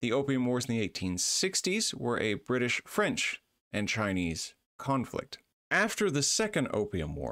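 A man's bright, sharp voice at a fairly slow pace, with very wide pitch swings over a quiet background. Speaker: university lecturer. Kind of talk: lecture.

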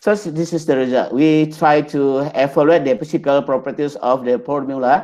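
A man with a dark, mellow tone talks at a moderate pace and fairly high pitch with ordinary pitch variation. He hardly pauses, and the background is quiet. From Indonesia. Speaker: pharmacy researcher; conference presenter. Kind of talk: conference presentation. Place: home room. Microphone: webcam.

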